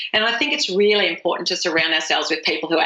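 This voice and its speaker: A woman with an Australian accent speaks with ordinary pitch variation, her voice carrying audible room echo over noticeable background noise. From Australia, rural dairy farm. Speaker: author and speaker. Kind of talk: podcast interview. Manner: animated.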